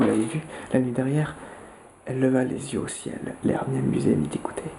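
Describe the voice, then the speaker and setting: A soft-spoken man whispering amid noticeable background noise. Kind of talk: whispered audiobook-style reading of a novel, ASMR. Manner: whispered, soft.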